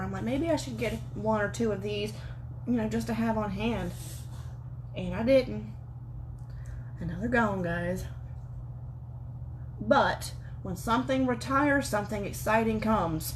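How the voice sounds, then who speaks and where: Long, frequent pauses mark a woman's speech, heard with audible room echo. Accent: strong Southern US. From US South. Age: 20s. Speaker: beauty vlogger. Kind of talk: makeup tutorial livestream. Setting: livestream from home. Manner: fast; animated.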